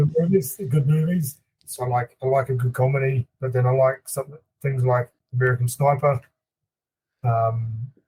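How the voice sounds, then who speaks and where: Speaking at a moderate pace with long, frequent pauses, a man with a slight New Zealand accent has a medium-pitched, somewhat breathy voice, fairly even intonation, and a dry, close sound with no echo. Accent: mild New Zealand. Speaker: hunting guide and outfitter. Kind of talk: casual chat.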